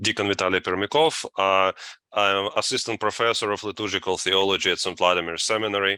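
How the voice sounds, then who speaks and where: Over a very clean, silent background, a man with a Russian accent talks fairly quickly in a fairly low, bright, sharp voice with fairly even intonation and a dry, close sound with no echo. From Latvia, Russian family. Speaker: deacon and seminary professor. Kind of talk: interview. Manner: halting, many fillers.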